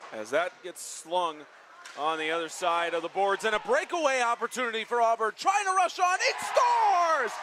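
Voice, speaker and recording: A man projects a raised voice at an extremely high pitch with very wide pitch swings and a moderate pace. Noticeable background noise runs underneath. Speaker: sports broadcaster. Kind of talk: sports play-by-play commentary.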